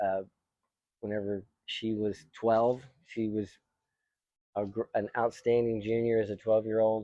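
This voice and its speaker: In a dark, mellow tone, the voice moves at a moderate pace with monotone, flat intonation and long, frequent pauses. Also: man, fairly low pitch for a man. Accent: American. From Texas. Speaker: YouTube host, tennis coach. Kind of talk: casual chat.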